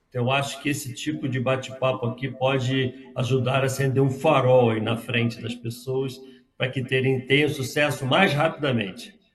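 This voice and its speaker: The pace is moderate in an ordinary speaking voice. Intonation remains fairly even throughout. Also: man, medium pitch for a man. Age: 60s. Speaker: software company founder. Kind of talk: interview.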